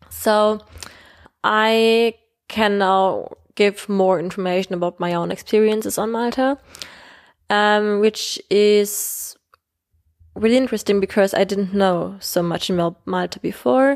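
Her German accent clear, a woman speaks at a fairly slow pace with long, frequent pauses. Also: medium pitch for a woman, ordinary pitch variation. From Germany. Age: 20s. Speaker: podcast host. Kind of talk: solo podcast monologue. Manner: hesitant, many fillers.

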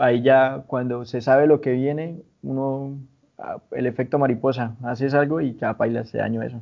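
This man has an ordinary speaking voice with a medium pitch. He keeps a moderate pace and fairly even intonation. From Colombia, Santander (San Gil, Barrancabermeja, Bucaramanga). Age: 20s. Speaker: musician. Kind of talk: interview.

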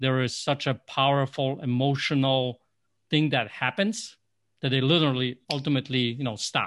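At a moderate pace, a man with a Polish accent speaks in a medium pitch. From Poland. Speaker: life coach. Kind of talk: podcast interview. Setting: video call. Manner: animated.

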